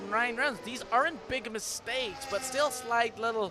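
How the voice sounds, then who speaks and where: Amid noticeable background noise, a man speaks in a raised, projected voice with a high pitch and ordinary pitch variation. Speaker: sim racing commentator. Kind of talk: live commentary. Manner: fast; animated.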